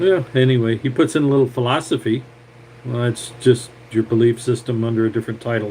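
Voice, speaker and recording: A man's medium-pitched voice is somewhat breathy, with a dark, mellow tone and fairly even intonation. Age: 60s. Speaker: tractor mechanic. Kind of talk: live stream talk and repair tutorial. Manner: casual, rambling with filler words.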